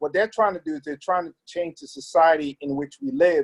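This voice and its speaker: Here a man has a plain, everyday voice, fairly high in pitch with ordinary pitch variation. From Brooklyn, New York (born in Trinidad, moved at seven). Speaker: pastor and community leader. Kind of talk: interview.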